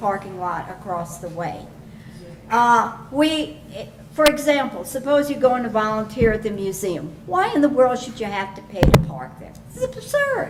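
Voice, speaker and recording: A woman's fairly high-pitched, lively speech at a moderate pace, with audible room echo and noticeable background noise. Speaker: resident speaking at public comment. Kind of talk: public comment at town council meeting.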